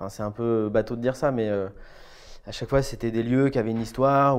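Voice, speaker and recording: In a monotone, flat intonation, a man speaks. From Brittany, France. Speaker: architect. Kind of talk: interview. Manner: hesitant. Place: office.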